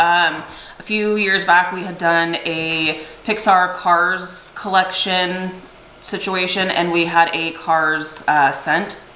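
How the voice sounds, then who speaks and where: Speaking at a very slow pace, a woman is heard with audible room echo and light background noise. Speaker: direct sales consultant and video host. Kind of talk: casual product review chat. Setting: home video recording with spouse. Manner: animated. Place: home room.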